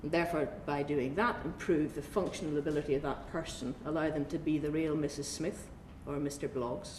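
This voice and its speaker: Audible room echo surrounds this woman's voice. She talks at a fairly quick pace with a very deep, low pitch. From Northern Ireland (Belfast). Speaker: oncologist. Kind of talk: conference talk.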